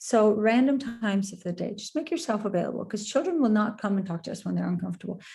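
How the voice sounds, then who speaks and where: Talking at a very fast pace, a woman with vocal fry and a dark, mellow tone speaks at medium pitch with ordinary pitch variation. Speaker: parenting expert. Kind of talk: webinar talk.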